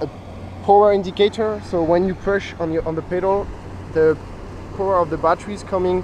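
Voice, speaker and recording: A man with a French accent and a high pitch speaks with fairly even intonation and long, frequent pauses over noticeable background noise. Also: fairly quick pace. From France. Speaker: bicycle company family member. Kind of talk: product demo interview.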